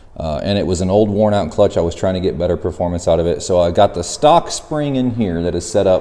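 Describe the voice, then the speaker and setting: A man talks at a fairly low pitch against noticeable background noise. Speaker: go-kart and mini bike YouTuber. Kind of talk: DIY tutorial. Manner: casual, conversational.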